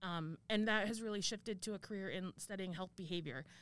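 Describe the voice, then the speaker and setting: In a General American accent, a woman with an unremarkable speaking voice talks at a fairly quick pace, her medium pitch showing ordinary variation. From Arizona. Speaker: university administrator and professor. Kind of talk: interview.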